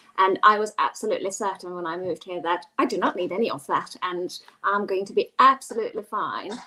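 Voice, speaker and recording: Over noticeable background noise, a woman with a Hungarian accent talks at a fairly quick pace, her medium pitch showing ordinary variation. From Hungary. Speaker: global mobility professional. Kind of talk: panel discussion.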